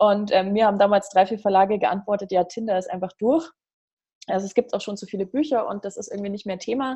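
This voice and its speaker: Very fast speech from a woman at medium pitch, somewhat breathy, with big swings in loudness and ordinary pitch variation. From Bavaria, Germany (Regensburg). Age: 30s. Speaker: life coach. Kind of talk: casual interview. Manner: animated.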